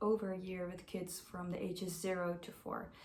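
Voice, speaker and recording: A woman with a Dutch accent, heard with audible room echo. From Netherlands (Amersfoort). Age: 20s. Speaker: au pair applicant. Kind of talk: self-introduction video.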